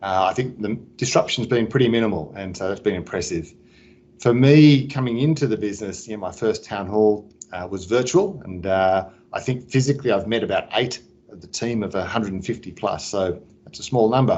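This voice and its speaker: Australian-accented male speech with ordinary pitch variation. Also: fairly low pitch for a man, fairly quick pace, big swings in loudness. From Sydney, Australia. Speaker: business executive. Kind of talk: interview.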